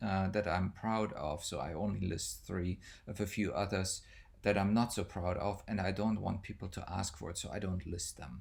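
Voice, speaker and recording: A man with a German accent talks at a moderate pace in a fairly low pitch, with ordinary pitch variation. His voice has vocal fry, and the room echo is audible. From Germany. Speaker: music professor. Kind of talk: lecture. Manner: hesitant, many fillers.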